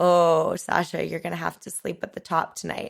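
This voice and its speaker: A raspy, put-on character voice comes at middle pitch and a moderate pace. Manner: conversational, telling someone he will have to stay overnight.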